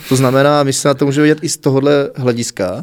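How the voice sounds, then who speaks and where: A man talks at a very fast pace. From Czech Republic, South Moravia (Znojmo). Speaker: music festival organizer and teacher. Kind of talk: interview. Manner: animated.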